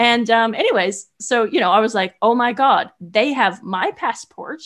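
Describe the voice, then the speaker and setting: With an American accent, a woman speaks at a fairly high pitch with lively intonation, an ordinary speaking voice. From US West Coast, California Bay Area. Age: 30s. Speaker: horse rider and traveler. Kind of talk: interview storytelling. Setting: remote call.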